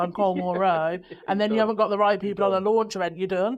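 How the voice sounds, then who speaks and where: At a very fast pace, a woman talks with fairly even intonation at a medium pitch. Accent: Birmingham. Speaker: PR agency director. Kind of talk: podcast conversation.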